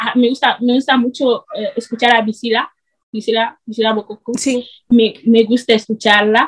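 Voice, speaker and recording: A woman is speaking. Her pace is moderate. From Equatorial Guinea. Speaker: student and video creator. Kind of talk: interview.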